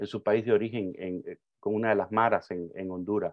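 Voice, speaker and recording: A man talks at a medium pitch. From Cuba. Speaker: migration advocate. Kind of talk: interview.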